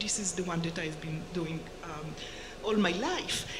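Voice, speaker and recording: Moderate-paced female speech, with audible room echo and noticeable noise in the background. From Israel. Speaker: professor. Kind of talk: lecture. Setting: lecture hall with audience.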